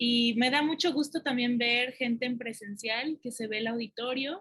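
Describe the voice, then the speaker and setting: A woman with a Mexican accent speaks at a fairly slow pace in a high pitch with ordinary pitch variation. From Mexico. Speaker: academic researcher. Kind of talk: conference talk. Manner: hesitant, many fillers.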